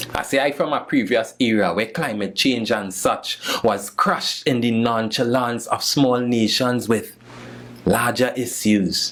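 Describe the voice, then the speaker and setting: Noticeable background noise accompanies a man speaking at a medium pitch, with fairly even intonation and a fairly slow pace. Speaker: spoken word poet. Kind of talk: spoken word poetry performance.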